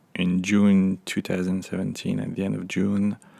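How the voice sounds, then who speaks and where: At a fairly slow pace, a man with a French accent talks in a relaxed tone at a fairly low pitch. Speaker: unboxing vlogger. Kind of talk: casual talk to camera. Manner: hesitant, relaxed. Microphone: phone near.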